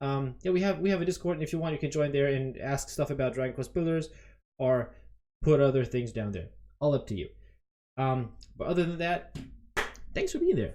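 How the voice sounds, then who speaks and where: A man with a fairly high pitch and a dark, mellow tone talks at a fairly quick pace. His pitch varies in an ordinary way, broken by long, frequent pauses. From Germany. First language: German (English until age six). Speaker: video game streamer. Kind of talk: casual live stream commentary. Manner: hesitant, many fillers and repetitions.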